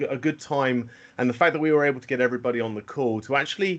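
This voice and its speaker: A man speaks with a British accent. The background is quiet. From UK. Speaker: systems engineer presenting a product. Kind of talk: webinar product presentation. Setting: online webinar call. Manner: frequent fillers and repetitions.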